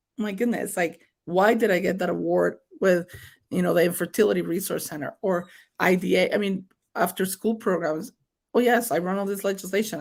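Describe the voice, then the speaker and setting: A woman speaks in a strong Mexican accent with fairly even intonation. The recording is very clean, with a silent background. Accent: thick Mexican Spanish. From Mexico. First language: Spanish. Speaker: state senator. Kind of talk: interview. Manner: code-switching Spanish and English.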